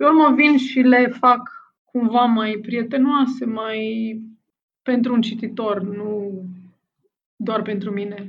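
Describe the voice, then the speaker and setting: At a very slow pace with long, frequent pauses, a woman speaks in a fairly high, somewhat breathy voice with fairly even intonation and audible room echo. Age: 40s. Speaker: anthropologist and novelist. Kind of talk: interview. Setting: remote call.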